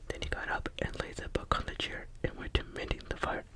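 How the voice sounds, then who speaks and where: Speech comes as a whisper at a moderate pace. Noticeable noise sits in the background. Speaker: ASMR YouTuber reading scary stories. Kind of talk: ASMR horror story reading. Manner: whispered, soft.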